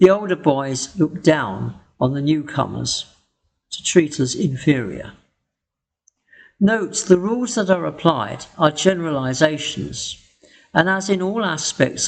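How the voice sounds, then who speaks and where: Speaking with a British accent, a man with a fairly high-pitched voice uses lively intonation. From England. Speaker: English teacher. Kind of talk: educational tutorial narration.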